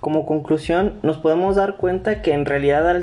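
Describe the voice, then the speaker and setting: His is an unremarkable speaking voice. The man moves at a fairly quick pace, pitch varying in an ordinary way. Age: 20s. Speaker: university student. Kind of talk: student presentation podcast.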